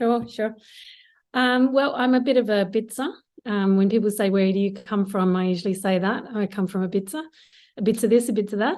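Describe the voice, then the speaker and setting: With an Australian accent, a woman talks at a fairly quick pace in a fairly high pitch with ordinary pitch variation, over a quiet background. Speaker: marketing executive. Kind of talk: interview.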